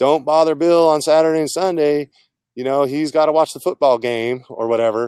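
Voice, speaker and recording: Speaking fairly quickly with an American accent, a man has a fairly high pitch and ordinary pitch variation, recorded with a dry, close sound and no echo. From California Central Coast. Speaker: technology consultant. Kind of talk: interview. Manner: casual, hesitant.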